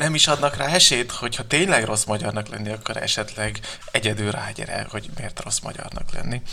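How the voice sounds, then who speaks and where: A man talks fairly quickly while noticeable background noise continues behind him. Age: 20s. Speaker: novelist. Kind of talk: interview. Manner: halting, many fillers.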